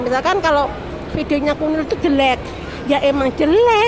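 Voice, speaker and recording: A woman speaks at a moderate pace. There is audible room echo, with crowd noise in the background. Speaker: migrant domestic worker and beginner vlogger. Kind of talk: casual vlog monologue. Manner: loud, raised to beat the music; rambling, jumps between topics.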